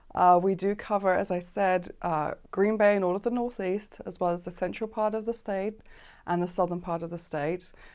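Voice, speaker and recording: A London accent at a moderate pace, with fairly even intonation and a quiet background. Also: woman, medium pitch for a woman. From South London, England. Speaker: business owner. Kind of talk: interview. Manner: hesitant with fillers.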